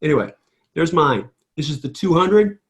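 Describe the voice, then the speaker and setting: A man with a Midwestern American accent, fairly high pitch, ordinary pitch variation and a very fast pace. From St. Louis, Missouri, US Midwest. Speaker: trader and trading educator. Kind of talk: screen-share chart tutorial. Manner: animated.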